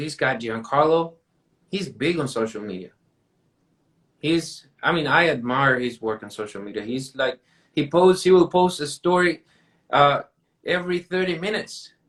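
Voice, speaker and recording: A man with a Mexican accent talks at a moderate pace, with long, frequent pauses. His fairly high voice carries lively intonation. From Mexico. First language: Spanish. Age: 20s. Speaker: painting contractor. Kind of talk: casual interview chat.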